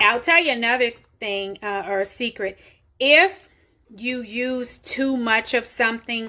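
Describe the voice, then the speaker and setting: In a very clean recording with a silent background, a woman speaks at a fairly slow pace with a slight Memphis accent. Her tone is bright and sharp, and her intonation stays fairly even. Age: 40s. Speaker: home cooking channel host. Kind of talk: cooking tutorial. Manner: casual, conversational with fillers.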